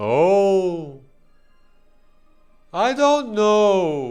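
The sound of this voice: A man's put-on character voice, high-pitched and very slow, slightly mellow with vocal fry and big pitch swings, over faint music in the background.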